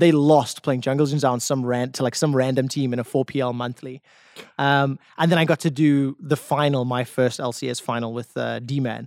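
The voice comes in a South African accent at a moderate pace, with monotone, flat intonation. The sound is dry and close, with no echo. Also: man, medium pitch for a man. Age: 30s. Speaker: esports caster and former pro player. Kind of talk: casual chat.

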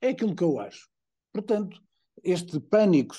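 A man's dark, mellow tone over a quiet background. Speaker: political commentator. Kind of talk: casual chat.

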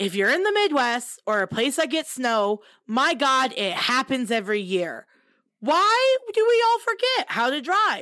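A woman speaks in a high pitch with a bright, sharp tone and a raised, projected voice, her pitch swinging very widely. Her pace is fairly slow, and the recording is very clean with a silent background. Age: 20s. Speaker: podcast co-host. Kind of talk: casual chat.

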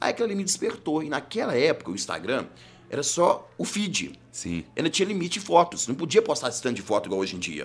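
Music plays in the background while a man talks at a very fast pace. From Belo Horizonte, Minas Gerais, Brazil. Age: 30s. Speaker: criminal defense lawyer. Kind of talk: casual interview chat. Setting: studio.

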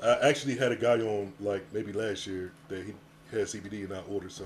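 A man talks at a fairly quick pace and a fairly low pitch. His voice is somewhat breathy, with ordinary pitch variation. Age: 30s. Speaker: podcaster and wheelchair user. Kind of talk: casual chat.

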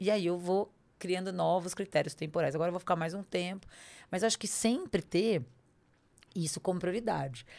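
An ordinary speaking voice at a fairly quick pace, with ordinary pitch variation, on a very clean recording with a silent background. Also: woman. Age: 40s. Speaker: lawyer and personal development coach. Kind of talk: interview conversation.

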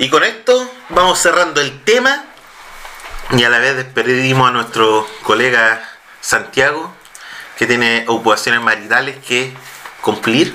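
The speaker has a Chilean accent and talks at a fairly slow pace with ordinary pitch variation. Loudness stays very even, broken by long, frequent pauses. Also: man, medium pitch for a man. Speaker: podcast host. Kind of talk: reading aloud; casual chat.

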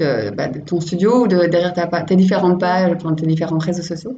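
A woman's voice comes across as somewhat breathy. Room echo is audible. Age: 30s. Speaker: podcast host. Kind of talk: interview.

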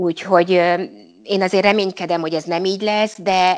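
A woman at a fairly low pitch and a moderate pace, in a normal speaking voice. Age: 50s. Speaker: local councillor and teacher. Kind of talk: interview.

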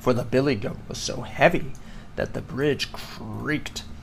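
Ordinary pitch variation comes through as the speaker reads aloud in a natural voice.

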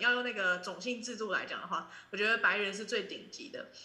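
Over noticeable background noise and audible room echo, a woman speaks very fast at a fairly high pitch with ordinary pitch variation. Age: 20s. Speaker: student. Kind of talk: casual chat.

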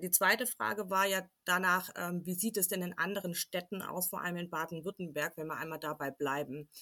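With a slight Swabian accent, a woman speaks fairly quickly and with hardly any pauses, at a fairly low pitch with ordinary variation. Her tone is bright and sharp, and the recording is very clean over a silent background. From Swabia, southwest Germany. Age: 30s. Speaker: parent representative and communication trainer. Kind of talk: interview.

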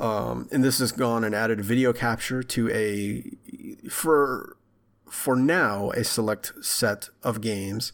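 The very clean recording with a silent background holds a voice with an American accent moving at a very slow pace. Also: man, medium pitch for a man. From Texarkana area, Texas/Arkansas border. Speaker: video game podcast co-host. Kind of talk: casual chat. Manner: animated.

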